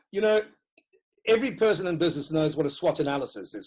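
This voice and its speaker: A man with a Rhodesian accent talks at a very fast pace. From Rhodesia (Zimbabwe), Dutch-born. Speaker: educational consultant and author. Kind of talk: interview.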